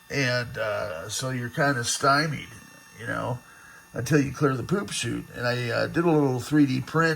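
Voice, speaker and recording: Over noticeable background noise, a man of medium pitch talks at a fairly slow pace with lively intonation. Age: 60s. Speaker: vintage computer restorer. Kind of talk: casual video demo. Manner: rambling with many fillers.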